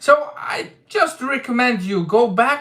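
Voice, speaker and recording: The voice is raised and projected, bright and sharp in tone, with a non-native accent. Its pitch swings very widely. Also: man. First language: not English. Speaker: manga discussion youtuber. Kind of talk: livestream chat. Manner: casual, hesitant with fillers.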